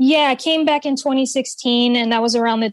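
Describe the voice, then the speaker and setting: In an American accent, a woman with an unremarkable speaking voice talks at a moderate pace with fairly even intonation against a quiet background. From Connecticut. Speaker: artist and musician. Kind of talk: interview. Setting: video call.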